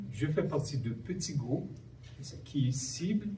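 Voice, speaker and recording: Somewhat breathy and dark, mellow in tone, a man speaks at a fairly slow pace with a fairly high pitch amid audible room echo. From Haiti. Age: 60s. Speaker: human rights activist. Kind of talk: panel talk.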